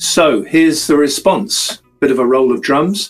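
A man with a British accent, a fairly high pitch and a fairly slow pace. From Britain. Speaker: webinar host. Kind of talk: live webinar interview.

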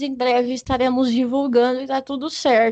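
A woman's high-pitched voice at a moderate pace. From Paraná, Brazil. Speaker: podcast host, music therapy student. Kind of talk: casual chat. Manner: animated.

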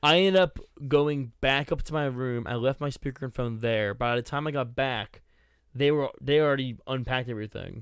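Speaking fairly quickly with an American accent, a man has a medium pitch, ordinary pitch variation and a plain, everyday voice, captured in a very clean recording with a silent background. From US Northeast, Boston. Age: 20s. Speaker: gaming podcast co-host. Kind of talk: casual chat.

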